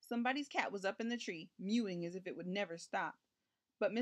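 Heard against a quiet background, this is a natural reading voice with ordinary pitch variation.

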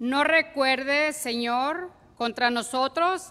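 Speaking at a very slow pace, a woman uses a raised, projected voice with a bright, sharp tone, a high pitch, and ordinary pitch variation. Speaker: psalmist. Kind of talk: reading aloud. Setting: church. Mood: solemn, prayerful. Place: church. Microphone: podium.

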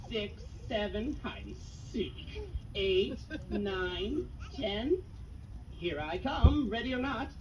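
In a cartoonish character voice, the speaker goes at a very slow pace with long, frequent pauses over loud background noise. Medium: puppet. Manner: formal, old-fashioned.

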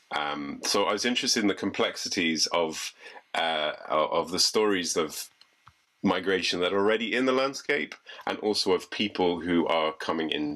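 A man speaks at a moderate pace in a very deep, low pitch with a bright, sharp tone and lively intonation. His loudness stays very even over a quiet background. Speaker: artist; guest. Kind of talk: presentation. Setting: video call. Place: home room. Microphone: video call.

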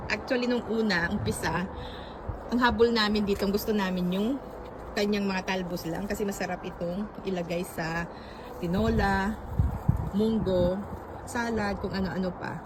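A woman at medium pitch and moderate pace, fairly even in intonation, with long, frequent pauses and noticeable background noise. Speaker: vlogger showing garden. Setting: outdoors in a garden.

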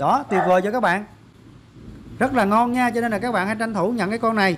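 This man's voice sits high in pitch. His tone is fairly bright.

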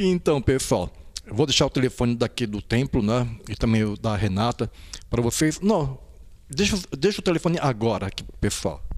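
With very wide swings in pitch, a man speaks at a medium pitch. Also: moderate pace. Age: old. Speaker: YouTube channel host. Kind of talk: casual interview. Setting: on location at a temple. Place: hall. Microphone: handheld.

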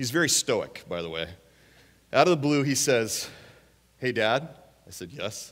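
A man speaks at a moderate pace with vocal fry, very wide pitch swings and big swings in loudness. Long, frequent pauses break up his speech against a quiet background. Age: 50s. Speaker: guest preacher. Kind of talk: sermon. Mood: warm, humorous storytelling. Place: church. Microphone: headset.

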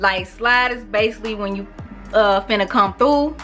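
Someone speaks with an American accent. Faint music plays in the background. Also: woman. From St. Louis, Missouri. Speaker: beauty vlogger. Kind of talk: casual talk to camera. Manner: casual, chatty. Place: home room. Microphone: camera far.

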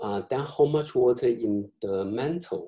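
A man talks fairly slowly, and the background stays quiet. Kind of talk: lecture. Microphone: webcam.

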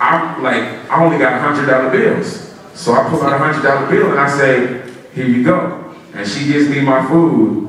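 A man is heard with strong room echo and light background noise. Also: ordinary pitch variation, moderate pace. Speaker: motivational speaker. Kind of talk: storytelling motivational speech. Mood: humorous, animated anecdote. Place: hall. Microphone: pa.

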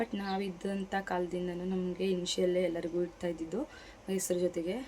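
A woman with a medium-pitched voice speaks in a flat monotone. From Mandya district, Karnataka (K R Pete area). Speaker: vlogger, housewife. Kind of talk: casual vlog monologue.

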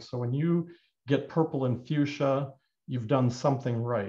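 The voice is somewhat breathy, with a dark, mellow tone and fairly even intonation. The background is quiet. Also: man. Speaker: clay instructor. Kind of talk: tutorial. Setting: live online broadcast from studio. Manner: informal, hesitant with fillers. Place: workshop.

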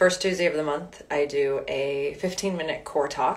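A woman is speaking. Her tone is warm and upbeat. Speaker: wellness and fitness instructor. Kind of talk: guided meditation, gentle spoken prompts to breathe and visualize an inner guide. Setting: live online session. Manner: slow, calm, soothing instructions with long pauses between prompts; warm, upbeat and chatty in the intro, with fillers. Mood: calm, soothing. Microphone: phone near.

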